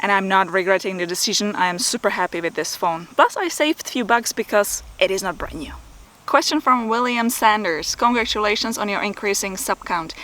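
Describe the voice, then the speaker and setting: With a Czech accent, a woman speaks at a fairly quick pace in a bright, sharp tone, medium in pitch with ordinary pitch variation. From Czech Republic. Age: 40s. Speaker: photography and video YouTuber. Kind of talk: Q&A vlog. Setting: outdoors.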